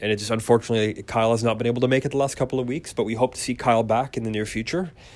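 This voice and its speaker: Very clean recording of a man's voice, silent background behind it. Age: 30s. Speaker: wrestling podcast host. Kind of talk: casual solo commentary. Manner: many fillers, conversational.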